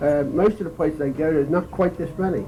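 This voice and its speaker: With noticeable background noise, a man speaks in a Philadelphia accent at a high pitch with ordinary pitch variation. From Philadelphia, US. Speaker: war veteran. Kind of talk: lecture. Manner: halting.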